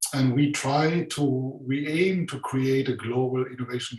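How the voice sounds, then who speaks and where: A man with a German accent speaks fairly slowly, his fairly high pitch held in fairly even intonation. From Germany. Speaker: conference host. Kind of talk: conference presentation. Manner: hesitant, many fillers.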